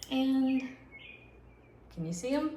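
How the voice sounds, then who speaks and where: A woman talks with lively intonation. Noticeable background noise can be heard. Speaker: landlord. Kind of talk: property walkthrough commentary.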